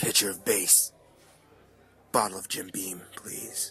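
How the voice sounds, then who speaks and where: Putting on a character voice, a man speaks very deep and low, raspy, at a fairly slow pace. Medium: audio drama.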